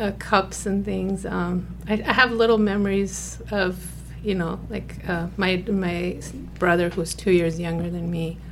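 A woman with an American accent at a fairly slow pace, amid noticeable background noise and audible room echo. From Afghanistan (Kabul), later Germany and US. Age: 40s. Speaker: refugee, former scientist, mother. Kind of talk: interview.

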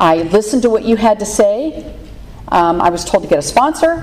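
A woman speaks in a fairly high pitch with an American accent. Her pace is fairly slow, with noticeable background noise. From Pittsburgh, Pennsylvania. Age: 60s. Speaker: recovery meeting speaker. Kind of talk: testimony. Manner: halting, many fillers.

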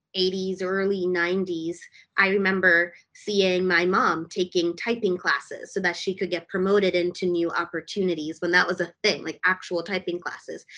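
Speaking with a General American accent, a woman uses a medium pitch and a bright, sharp tone. Her delivery is monotone and flat at a moderate pace, with hardly any pauses. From US, DC metro area. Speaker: tech startup founder and CEO. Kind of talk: podcast interview.

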